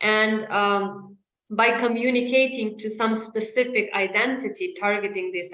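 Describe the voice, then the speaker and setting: Audible room echo around a woman's moderate-paced speech, fairly high in pitch with ordinary pitch variation. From Ukraine. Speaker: disinformation analyst. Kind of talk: webinar presentation Q&A. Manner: hesitant, many fillers.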